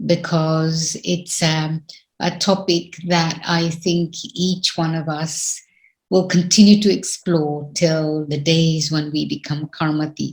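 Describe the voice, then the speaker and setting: A woman talks at a very slow pace in a fairly low, somewhat breathy voice. Her intonation is fairly even. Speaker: spiritual teacher. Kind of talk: spiritual talk.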